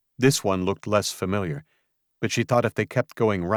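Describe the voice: This is plain reading aloud with ordinary pitch variation and a quiet background.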